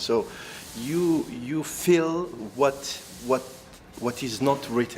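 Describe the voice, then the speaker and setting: The speech comes at a very slow pace in an Algerian accent. Background noise is noticeable. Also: man. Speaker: actor. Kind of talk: interview. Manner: halting, many fillers and restarts.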